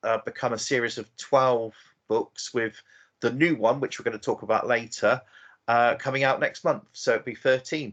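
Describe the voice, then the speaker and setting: A medium-pitched man at a moderate pace, fairly even in intonation, over a quiet background. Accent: English. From southern England, Oxford. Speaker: novelist. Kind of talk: interview.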